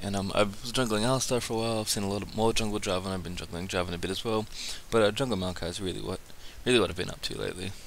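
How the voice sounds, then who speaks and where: Quiet and fairly low in pitch, a man speaks at a very fast pace. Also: fairly even intonation. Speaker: gaming commentator. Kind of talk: game commentary. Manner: quiet, subdued.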